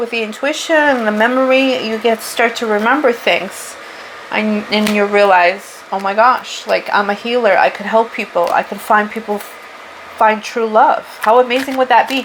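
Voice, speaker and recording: Over noticeable background noise, a woman with a strong Portuguese accent speaks at a fairly high pitch with ordinary pitch variation. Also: moderate pace. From Portugal. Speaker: spiritual tarot reader. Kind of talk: tarot reading monologue. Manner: casual, unscripted.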